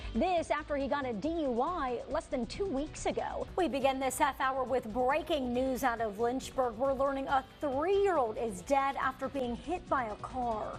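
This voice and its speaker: Over music in the background, a woman with a high pitch talks at a moderate pace with hardly any pauses. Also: ordinary pitch variation. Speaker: television news anchor and reporter. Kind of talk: studio news anchor read.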